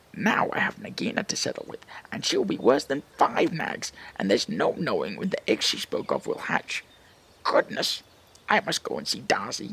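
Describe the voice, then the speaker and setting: A man's put-on character voice at a moderate pace. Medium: read story.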